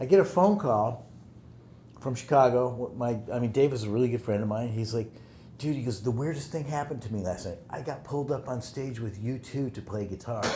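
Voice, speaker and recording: A man talks at a fairly quick pace with a medium pitch and ordinary pitch variation. His tone is dark and mellow, and somewhat breathy. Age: 60s. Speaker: music mixer and producer. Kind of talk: casual interview chat.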